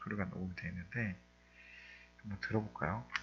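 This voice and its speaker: A man talks while music plays in the background. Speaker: coding instructor. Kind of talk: tutorial. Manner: fast.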